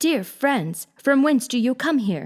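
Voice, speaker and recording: Fairly slow, high-pitched female delivery in a put-on character voice. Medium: read story.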